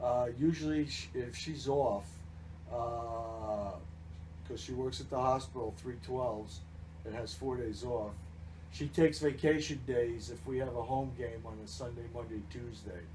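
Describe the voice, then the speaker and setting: A man with an American accent, vocal fry, medium pitch, lively intonation and a fairly slow pace, with audible room echo. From New Jersey. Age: 60s. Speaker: baseball team general manager. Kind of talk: interview. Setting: radio broadcast.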